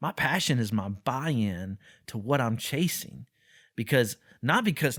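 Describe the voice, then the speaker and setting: On a very clean recording with a silent background and a dry, close sound with no echo, a man speaks loudly in an energetic tone with very wide pitch swings. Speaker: podcast host. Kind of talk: podcast discussion. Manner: loud, energetic; repetitive, halting restarts.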